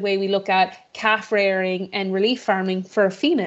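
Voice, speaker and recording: With an Irish accent, a woman talks at a fairly quick pace and a medium pitch. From western Ireland (Mayo/Galway), born in Boston. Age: 30s. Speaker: politician. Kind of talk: interview. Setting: video call. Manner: talkative, many repetitions and fillers.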